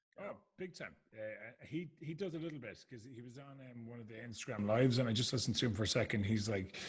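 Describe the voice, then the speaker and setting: A somewhat breathy man with a medium pitch speaks at a very fast pace, with big swings in loudness and lively intonation. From Ireland. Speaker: podcast host. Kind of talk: casual chat.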